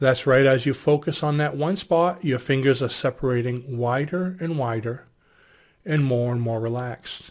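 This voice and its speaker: The recording is very clean, with a silent background. A man with a plain, everyday voice speaks at medium pitch and a moderate pace, with ordinary pitch variation. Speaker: hypnosis instructor. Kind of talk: guided hypnosis induction. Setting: video to camera. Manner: gentle, directive, measured.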